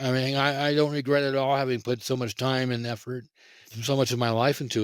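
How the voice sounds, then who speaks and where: On a very clean recording with a silent background, a man with an ordinary speaking voice talks at a fairly quick pace and a medium pitch. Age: 60s. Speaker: event founder and futurist. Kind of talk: interview.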